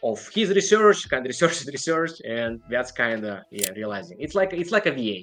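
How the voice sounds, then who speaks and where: A man with a non-native accent speaks at a moderate pace, his pitch swinging very widely over noticeable background noise. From outside the United States. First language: not English. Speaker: online seller. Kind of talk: interview.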